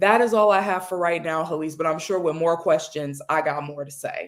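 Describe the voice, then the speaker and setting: Using an ordinary speaking voice, a woman with an American accent speaks at a fairly low pitch and a moderate pace with ordinary pitch variation. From United States. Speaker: panel guest. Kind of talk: panel discussion.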